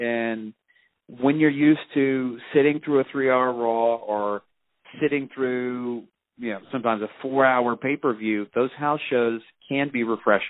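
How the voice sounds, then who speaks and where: An unremarkable speaking voice belongs to a man talking at a fairly slow pace, medium pitch and fairly even intonation. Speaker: professor and wrestling fan. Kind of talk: casual chat.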